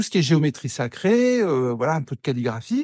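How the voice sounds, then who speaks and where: Lively intonation, recorded dry and close with no echo. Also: man. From northern France, Pas-de-Calais mining basin. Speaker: wood sculptor. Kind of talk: interview conversation. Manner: halting, many repetitions.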